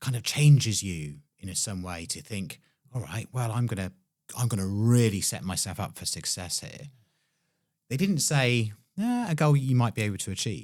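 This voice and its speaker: A man's ordinary speaking voice, medium in pitch, at a moderate pace with lively intonation and big swings in loudness, on a very clean recording with a silent background. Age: 40s. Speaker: podcast host. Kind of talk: casual interview conversation.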